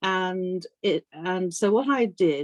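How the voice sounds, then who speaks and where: Lively in intonation, a woman of medium pitch speaks with a British accent, recorded with a dry, close sound and no echo. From Africa and UK boarding school. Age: 60s. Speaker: author. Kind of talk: interview.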